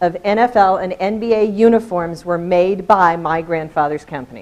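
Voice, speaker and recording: The speaker is a woman whose pitch varies in an ordinary way. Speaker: education specialist and presenter. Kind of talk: conference presentation. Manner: loud. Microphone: holds microphone far away.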